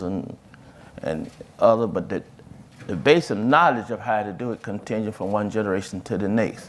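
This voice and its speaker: A man with a Mississippi accent talks at a moderate pace. His voice is fairly low, with ordinary pitch variation. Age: 60s. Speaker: farmer and farm advocate. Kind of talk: panel discussion. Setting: stage with audience. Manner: halting.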